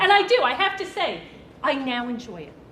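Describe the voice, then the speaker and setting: In a Brooklyn accent, a woman talks at a moderate pace with very wide pitch swings. Crowd noise and audible room echo fill the background. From Brooklyn, New York. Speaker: nursing professor. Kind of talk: presentation.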